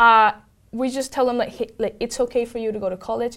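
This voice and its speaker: In a Spanish accent, a woman with a high pitch talks at a fairly quick pace on a very clean recording with a silent background. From Venezuela. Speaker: tech program manager. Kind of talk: interview.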